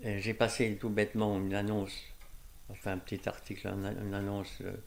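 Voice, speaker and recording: A man speaks at a moderate pace with a fairly low pitch. Long, frequent pauses break up his speech. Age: 80s+. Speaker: painter and amateur mycologist. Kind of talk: interview answer.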